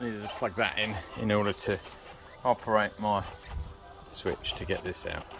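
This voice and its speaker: Over noticeable background noise, a man with a British accent and fairly low pitch speaks with monotone, flat intonation and long, frequent pauses. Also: moderate pace. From Britain. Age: 60s. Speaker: amateur mechanic. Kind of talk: casual DIY repair talk to camera.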